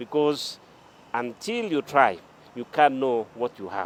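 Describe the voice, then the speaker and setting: Ordinary pitch variation marks this man's speech at a moderate pace. He has an American accent. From Kenya. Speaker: sports administrator and former athlete. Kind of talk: interview. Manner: halting, many fillers.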